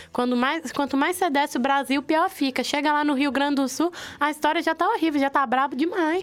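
A woman speaks at a high pitch and a fairly quick pace with an animated tone, ordinary pitch variation and very even loudness. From interior of Minas Gerais, Brazil. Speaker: university student, roundtable panelist. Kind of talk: casual roundtable chat.

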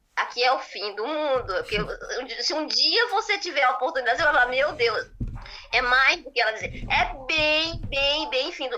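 A woman speaks in a raised, projected voice at a high pitch. Her pitch swings very widely, and her pace is moderate. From rural Goiás, Brazil. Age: 40s. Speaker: viewer calling in. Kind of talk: casual conversation. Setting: video call.

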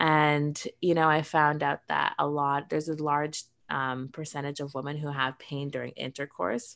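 A woman with a very deep, low pitch talks at a moderate pace with hardly any pauses and fairly even intonation, on a very clean recording with a silent background. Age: 30s. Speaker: cannabis and sex-wellness entrepreneur. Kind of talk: interview.

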